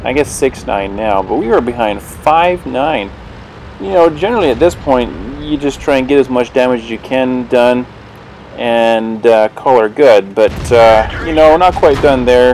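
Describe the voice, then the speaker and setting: There is noticeable background noise behind this man. His medium-pitched voice moves at a moderate pace with ordinary pitch variation. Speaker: gaming video commentator. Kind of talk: gameplay commentary. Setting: mic too close, poor audio. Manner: casual, hesitant with fillers.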